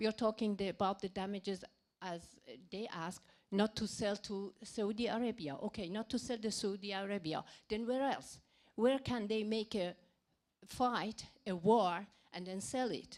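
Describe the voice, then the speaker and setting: This woman has a non-native accent and a medium pitch. Her pitch variation is ordinary. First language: not English. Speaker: audience member asking a question. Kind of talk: Q&A question. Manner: slow, halting.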